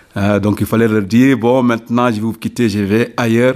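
A man is speaking here. His pitch is medium. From Senegal, Ziguinchor region (south). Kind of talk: radio interview. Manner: halting.

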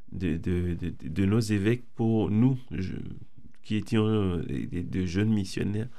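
At a very slow pace, a man speaks in a dark, mellow tone with fairly low pitch and ordinary pitch variation. Audible room echo surrounds his voice. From Benin. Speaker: former evangelization school student. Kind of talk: radio interview. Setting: radio studio. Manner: halting, repeats words.

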